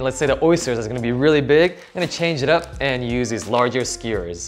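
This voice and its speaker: Faint music plays in the background as a man speaks. His pace is fairly quick and his pitch variation ordinary. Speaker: cooking channel host. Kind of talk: tutorial. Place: kitchen.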